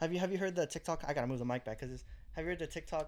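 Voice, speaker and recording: A man is heard speaking. The rise and fall of his pitch is ordinary. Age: 20s. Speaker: podcast co-host. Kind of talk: casual chat.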